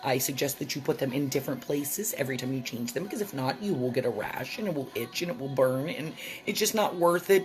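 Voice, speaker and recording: Noticeable background noise sits behind a woman whose intonation is lively. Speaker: vlogger. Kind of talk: casual vlog monologue.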